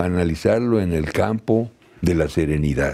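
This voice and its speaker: A man's voice has a dark, mellow tone. His intonation is lively. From Mexico. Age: 70s. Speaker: labor law expert; law professor guest. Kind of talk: TV interview. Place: studio. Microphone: lapel.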